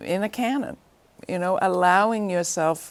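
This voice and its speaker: A normal speaking voice with ordinary pitch variation, on a very clean recording against a silent background. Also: woman. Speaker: show host, interviewer. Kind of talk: interview question.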